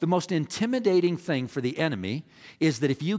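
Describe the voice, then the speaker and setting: Over a silent background in a very clean recording, a man talks at a moderate pace. His intonation is lively. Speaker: pastor. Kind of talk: sermon.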